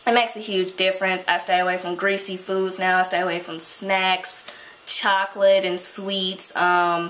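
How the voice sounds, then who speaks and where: A woman's medium-pitched voice stays monotone and flat, surrounded by audible room echo and noticeable background noise. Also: moderate pace. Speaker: beauty vlogger. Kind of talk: Q&A vlog.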